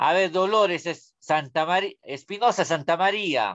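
This man has a high voice and talks at a fairly slow pace. His pitch varies in an ordinary way over a quiet background. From Peru, Huánuco; Peru. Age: 30s. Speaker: school religion teacher. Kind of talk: online class lecture. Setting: video call. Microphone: webcam.

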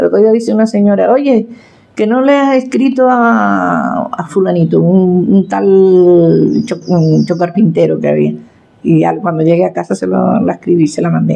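A woman speaks in a Canarian accent. Her pace is fairly slow. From Tenerife, Canary Islands. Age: 70s. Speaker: farmer and folk poet. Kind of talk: interview answer. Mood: warm, reflective. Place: kitchen.

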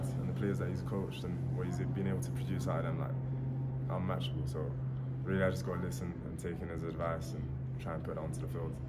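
A man talks over loud background noise. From London, England. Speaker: college football tight end. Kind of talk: interview answer. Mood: relaxed, friendly, smiling. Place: meeting room. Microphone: phone near.

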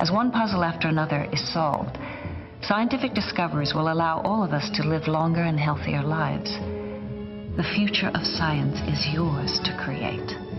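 Clear music plays behind a woman who speaks at a moderate pace. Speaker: actress. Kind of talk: public service announcement, informative spokesperson read. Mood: calm, informative, encouraging. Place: studio. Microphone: lapel.

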